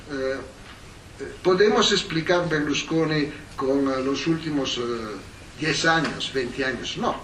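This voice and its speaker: A man with an Italian accent talks at a very slow pace in a fairly high pitch, with long, frequent pauses. Noticeable background noise sits behind him. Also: ordinary pitch variation. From Italy. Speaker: historian, professor. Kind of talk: academic lecture. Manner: hesitant, many fillers.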